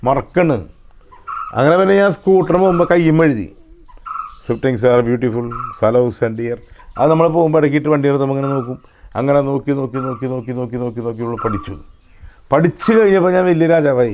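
With lively intonation and a fairly high pitch, a man talks in a normal speaking voice. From Kerala, Thrissur district (Kodakara). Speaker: film director telling life stories. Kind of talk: storytelling interview.

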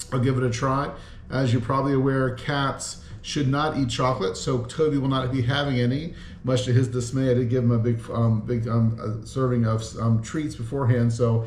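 There is light background noise and audible room echo as a man speaks at a moderate pace in a monotone, flat delivery. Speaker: food reviewer. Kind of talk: casual vlog chat. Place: home room. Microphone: camera far.

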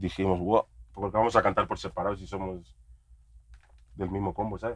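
Fairly low in pitch, a man talks at a moderate pace. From Spain, Madrid. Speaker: rapper. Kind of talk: casual chat.

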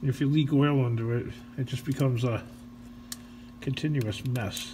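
A man talks at a moderate pace, with background noise noticeable behind him. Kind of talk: casual repair commentary. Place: garage. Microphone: phone near.

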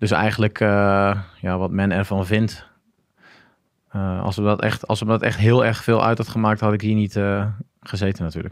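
Over a quiet background, a man speaks at a moderate pace in a fairly low, flat monotone, the sound dry with no echo. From Groningen, northern Netherlands; northern Netherlands. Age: 30s. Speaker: former marine special forces diver; podcast guest. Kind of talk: casual interview, personal story. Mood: relaxed storytelling. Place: studio. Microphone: studio mic.

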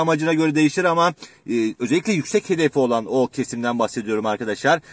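Fairly quick and fairly high, a man's voice is recorded dry with no echo against a quiet background. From Turkey, Manisa (Kırkağaç); Manisa, Turkey. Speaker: exam prep teacher (Turkish and literature); exam prep teacher. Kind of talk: educational vlog talk. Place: car. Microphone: phone near.

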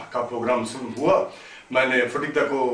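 There is audible room echo as a man talks at a fairly slow pace. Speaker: storyteller. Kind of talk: anecdotal storytelling to camera. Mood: humorous, lively. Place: home room.

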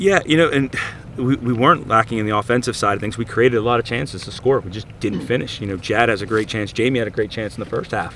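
Light background noise sits behind a man talking at a very fast pace with ordinary pitch variation, in a dry sound with no echo. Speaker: head coach. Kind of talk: interview answer. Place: stadium.

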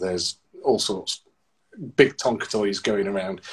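A man with a normal speaking voice at a fairly low pitch, against a quiet background. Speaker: civil engineer. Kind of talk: interview. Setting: video call. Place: home room. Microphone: video call.

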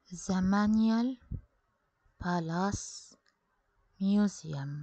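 Her voice has a dark, mellow tone and is somewhat breathy. The woman speaks at a medium pitch with ordinary pitch variation. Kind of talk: ASMR history vlog narration.

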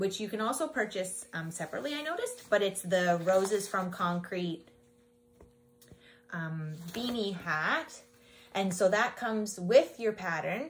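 Speaking with a Canadian accent, a woman uses lively intonation at a fairly slow pace over light background noise. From Ontario, Canada. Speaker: knitting podcaster and yarn dyer; knitting podcaster. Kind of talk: casual podcast talk to camera. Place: shop.

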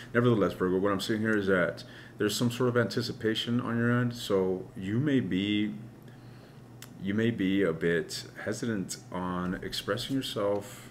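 Against light background noise, a man with fairly low pitch talks at a moderate pace with ordinary pitch variation. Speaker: tarot reader. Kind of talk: tarot reading commentary. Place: home room.

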